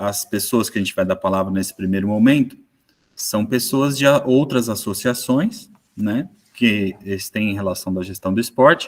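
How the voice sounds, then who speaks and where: With ordinary pitch variation, a man talks in a fairly low pitch. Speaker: moderator, sports management professor. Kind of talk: online panel moderation. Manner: slow, deliberate.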